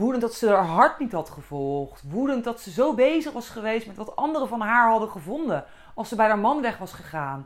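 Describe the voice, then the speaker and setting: A woman's fairly high voice with vocal fry, very wide pitch swings, big swings in loudness and a fairly quick pace. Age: 30s. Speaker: podcast host. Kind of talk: walking monologue. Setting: outdoors.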